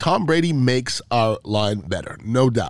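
A man talks at a medium pitch, with ordinary pitch variation. The recording is very clean and the background silent. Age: 50s. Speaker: podcast host, former NFL offensive lineman. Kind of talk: casual sports commentary monologue. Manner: conversational with frequent fillers.

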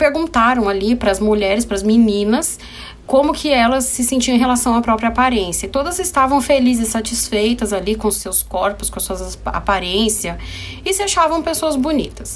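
Noticeable background noise under a woman's lively, fairly high-pitched speech at a medium pace. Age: 30s. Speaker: psychologist and podcast host. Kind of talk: casual solo podcast monologue. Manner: conversational.

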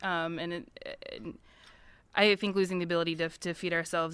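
With an American accent, a woman speaks in a fairly low pitch and a bright, sharp tone at a fairly quick pace, her intonation fairly even, on a very clean recording with a silent background. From US Midwest, Missouri. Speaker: nonprofit farm coalition staff. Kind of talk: panel discussion. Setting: conference panel with audience.

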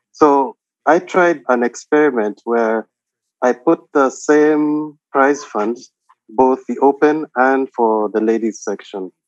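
A man speaks at a very slow pace with medium pitch and ordinary pitch variation, his voice dry and close with no echo over music in the background. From Nairobi, Kenya. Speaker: doctor and chess club co-founder. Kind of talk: interview.

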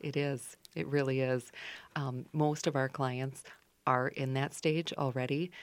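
A woman speaks with a very deep, low pitch and a Minnesotan accent at a fairly slow pace. Her intonation stays fairly even on a very clean recording with a silent background. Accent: Minnesota. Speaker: financial advisor. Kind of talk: radio interview. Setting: radio studio.

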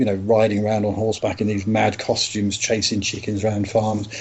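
A man with a London accent talks at a fairly quick pace and a fairly low pitch, with hardly any pauses. Noticeable background noise can be heard. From London, Tottenham. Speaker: podcast guest. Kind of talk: casual chat.

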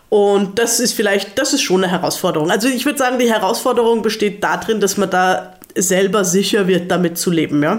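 With noticeable background noise, a woman talks at a fairly quick pace with hardly any pauses, very even loudness, medium pitch, and ordinary pitch variation. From Germany. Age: 30s. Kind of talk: casual interview chat. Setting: living room in Salzburg.

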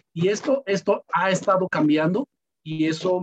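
With music in the background, a man speaks in a high voice at a fairly slow pace and ordinary pitch variation, the sound dry and close with no echo. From Mexico, Michoacán, P'urhépecha plateau. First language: P'urhépecha (speaking Spanish). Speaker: language teacher and migrant activist. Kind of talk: interview.

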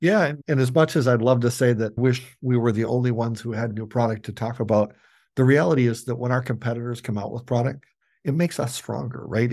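A man with an Upper Midwest accent speaks with fairly even intonation. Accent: Upper Midwest American. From US Midwest. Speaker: company CEO. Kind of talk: interview. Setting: remote interview from the factory.

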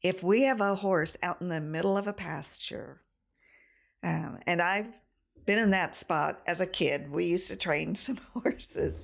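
The speaker has an American accent, lively intonation and some vocal fry. The recording is very clean with a silent background. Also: woman. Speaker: domestic violence program director. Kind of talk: casual chat.

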